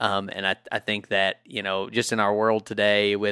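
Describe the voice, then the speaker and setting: A man with an American accent, bright and sharp in tone, monotone and flat, at a moderate pace, in a dry, close sound with no echo on a very clean recording with a silent background. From Kentucky. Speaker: hunter. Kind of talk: casual chat.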